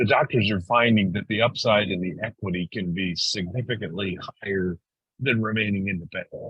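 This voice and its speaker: Using a plain, everyday voice, a man talks at a fairly quick pace, his fairly low pitch moving with ordinary variation. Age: 60s. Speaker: dental practice sales firm co-founder. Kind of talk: webinar panel discussion. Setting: webinar.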